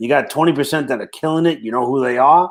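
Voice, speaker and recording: Talking at a very fast pace in a Brooklyn accent, a man is recorded very cleanly against a silent background. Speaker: franchise consultant. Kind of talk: casual interview chat.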